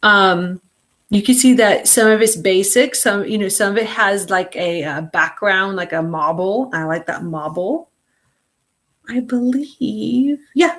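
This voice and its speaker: A normal speaking voice from a woman, medium in pitch, lively in intonation, at a fairly slow pace. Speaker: online class instructor. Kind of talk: live video class tutorial. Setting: video call meeting. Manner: casual, many fillers.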